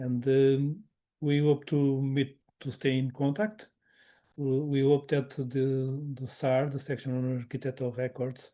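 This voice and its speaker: A man's medium-pitched, dark, mellow voice with a non-native accent, flat monotone intonation and a fairly slow pace against a quiet background. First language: not English. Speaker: webinar moderator. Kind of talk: closing remarks of online webinar. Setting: online webinar. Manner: halting, many repetitions.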